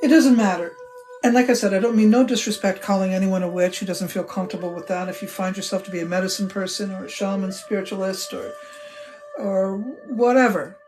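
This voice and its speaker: With music in the background and audible room echo, a woman talks at a very fast pace in a warm tone. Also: medium pitch for a woman, ordinary pitch variation, big swings in loudness. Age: 60s. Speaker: witch and spiritual teacher. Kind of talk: live stream chat with viewers. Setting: live stream from home temple. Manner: casual, warm, conversational.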